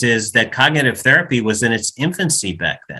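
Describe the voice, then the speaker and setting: Bright and sharp in tone, a man with an American accent speaks at a medium pitch. He moves at a fairly quick pace with lively intonation. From United States. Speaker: psychologist. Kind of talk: interview.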